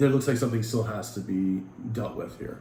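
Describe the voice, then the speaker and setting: Speaking very fast with vocal fry, a man has a dark, mellow tone amid audible room echo. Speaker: tarot reader. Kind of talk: tarot reading.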